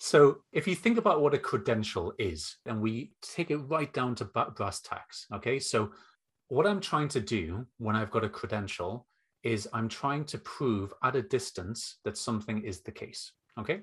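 A man speaks at medium pitch with a northeast English accent, his voice somewhat breathy. His pitch swings very widely against a quiet background. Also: moderate pace. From northeast England. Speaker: education consultant and former teacher. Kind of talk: interview conversation. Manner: humorous, relaxed.

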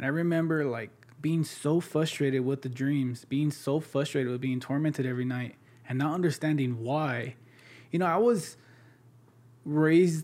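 A man speaks in an ordinary speaking voice at a moderate pace. His pitch sits fairly high, with ordinary variation. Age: 20s. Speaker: ministry leader, guest sharing testimony. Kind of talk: testimony in casual interview.

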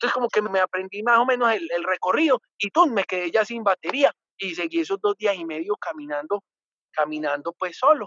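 Delivery comes at a fairly quick pace. Its intonation sounds lively. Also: man, high pitch for a man. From Colombia, Antioquia. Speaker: adventurer and former TV presenter. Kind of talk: casual interview.

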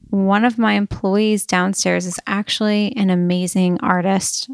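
In a very clean recording with a silent background and a dry, close sound with no echo, a woman with an ordinary speaking voice talks fairly slowly in an American accent, her intonation fairly even. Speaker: podcast host. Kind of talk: casual interview. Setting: home studio in person.

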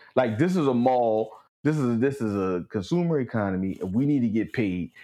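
A man's dark, mellow tone with lively intonation against a quiet background. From Los Angeles, Crenshaw area. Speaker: podcast guest and recurring co-discussant. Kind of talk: casual chat.

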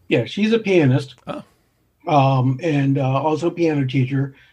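Somewhat breathy speech with ordinary pitch variation over a quiet background. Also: man. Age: 60s. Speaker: amateur astronomer and music educator. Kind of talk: interview.

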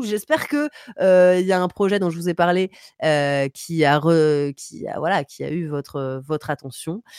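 This is a woman with a normal speaking voice, fairly low in pitch, with ordinary pitch variation. The recording is very clean with a silent background, and the sound is dry and close with no echo. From Paris. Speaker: streamer. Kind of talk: music review segment; casual chat. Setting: home streaming setup.

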